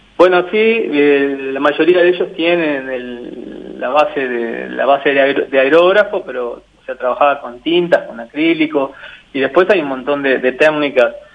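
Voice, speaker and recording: Noticeable background noise sits behind a man speaking at a fairly slow pace with hardly any pauses. His pitch is fairly high, with ordinary variation. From Uruguay (Mercedes, Durazno, San José, Tacuarembó). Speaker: mentalist and painter. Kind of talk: radio interview. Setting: phone call. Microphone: poor mobile phone line.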